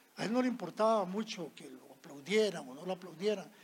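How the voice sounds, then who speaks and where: With ordinary pitch variation, a man speaks in a voice set high in pitch. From Costa Rica, Alajuela. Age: 70s. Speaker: storyteller. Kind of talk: anecdote telling.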